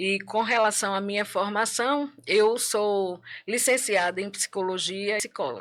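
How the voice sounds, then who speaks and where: On a very clean recording with a silent background, a woman speaks slowly-ish, at a fairly slow pace, with ordinary pitch variation and a Bahian accent. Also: medium pitch for a woman. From Bahia, Brazil. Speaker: psychologist. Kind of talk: casual chat. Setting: studio.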